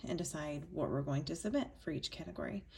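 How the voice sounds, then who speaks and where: In an American accent, a woman speaks quietly. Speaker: yearbook adviser teacher. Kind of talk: tutorial. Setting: at home, screen recording.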